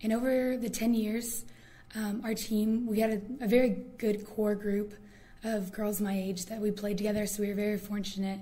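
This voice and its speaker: A woman with a fairly high pitch speaks in an American accent at a moderate pace, her intonation monotone and flat. The recording has audible room echo and noticeable background noise. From Indiana. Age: 20s. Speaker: student leader. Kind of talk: oral history interview.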